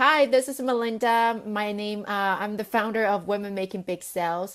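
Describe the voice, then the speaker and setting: With a non-native accent, a woman speaks at a fairly high pitch and moderate pace with ordinary pitch variation, on a very clean recording with a silent background. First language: not English. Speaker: sales coach and business founder. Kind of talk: live video talk to camera. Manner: casual with many fillers.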